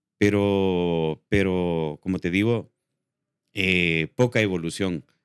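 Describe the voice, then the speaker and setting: A man talks very slowly with a very deep, low pitch and fairly even intonation. The sound is dry and close with no echo, on a very clean recording with a silent background. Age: 60s. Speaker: actor and filmmaker. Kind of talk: interview. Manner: halting, many fillers.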